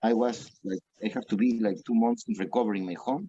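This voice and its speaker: In a Peruvian accent, a man with a dark, mellow tone makes very wide pitch swings, recorded with a dry, close sound and no echo. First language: Spanish. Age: 40s. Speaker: restaurant owner. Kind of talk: interview. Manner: halting.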